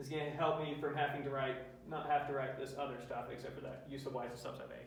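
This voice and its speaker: Over noticeable background noise and with audible room echo, a man speaks very fast in a fairly high pitch with monotone, flat intonation. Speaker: math lecturer. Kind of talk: lecture. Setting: classroom with students.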